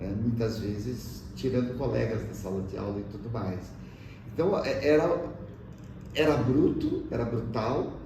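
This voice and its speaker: Amid noticeable background noise and audible room echo, a man speaks fairly slowly at a medium pitch with ordinary pitch variation and long, frequent pauses. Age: 60s. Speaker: teacher. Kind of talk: interview testimony. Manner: hesitant, with filler sounds.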